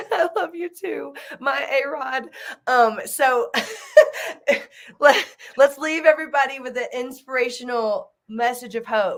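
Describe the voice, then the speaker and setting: A woman speaks at a fairly slow pace in a high pitch, with long, frequent pauses and big swings in loudness. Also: ordinary pitch variation. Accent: Southern US. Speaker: nonprofit founder and event host. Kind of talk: live video event chat.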